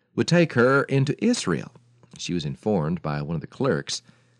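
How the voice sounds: The clip features a natural reading voice. Nothing else is noted about it.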